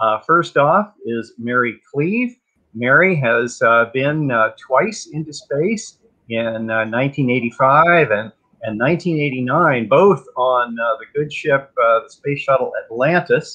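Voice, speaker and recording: The background stays quiet. A man talks at a very slow pace. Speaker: host, tour guide. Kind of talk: event introduction. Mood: warm, enthusiastic. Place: home room. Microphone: video call.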